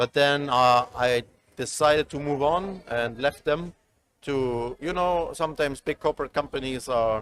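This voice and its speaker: Speaking with a German accent, a man with a fairly high pitch keeps a moderate pace and ordinary pitch variation. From East Germany. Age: 30s. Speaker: esports executive. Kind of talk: interview. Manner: halting.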